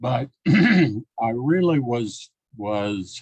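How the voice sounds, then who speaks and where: The sound is dry and close with no echo as a man speaks. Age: 80s+. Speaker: scientist and author. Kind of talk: casual talk. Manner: halting.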